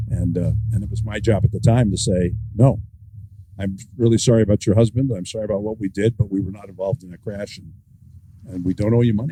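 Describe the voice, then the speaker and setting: A man talks at a very fast pace in a fairly low, dark, mellow, somewhat breathy voice. His intonation stays fairly even while his loudness swings widely. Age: 70s. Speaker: author and former newspaper editor. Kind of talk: author talk with conversation.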